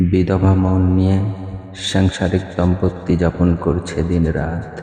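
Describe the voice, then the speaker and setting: Over noticeable background noise, a man speaks in a very deep, low voice with monotone, flat intonation. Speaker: voice-over artist. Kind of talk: poetry reading. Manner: emotional, somber.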